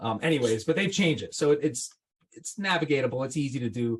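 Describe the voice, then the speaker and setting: In a somewhat breathy voice, a man talks at a fairly quick pace. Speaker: marketing consultant and podcast host. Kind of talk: casual interview with screen-share tutorial. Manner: fast; animated.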